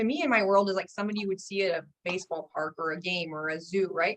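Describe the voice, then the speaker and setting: This woman talks at a very fast pace. Her pitch sits in the medium range. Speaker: wellness coach. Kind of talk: live coaching session.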